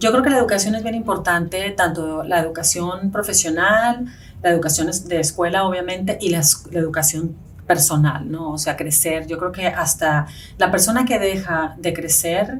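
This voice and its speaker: A woman speaks at a moderate pace with a Spanish accent. Her pitch sits fairly low and varies in an ordinary way. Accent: marked Spanish accent in English. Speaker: real estate agent. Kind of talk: interview.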